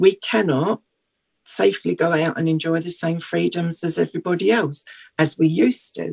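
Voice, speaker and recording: With a British accent, a woman talks at a moderate pace in a fairly low pitch with lively intonation and vocal fry, the sound dry and close with no echo. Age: 60s. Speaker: patient charity representative. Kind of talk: radio interview. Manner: halting.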